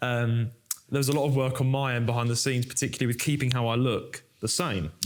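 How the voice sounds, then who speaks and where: A man at medium pitch with a London accent, very fast pace, very even loudness and fairly even intonation. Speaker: podcast host and actor. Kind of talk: casual chat. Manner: outgoing.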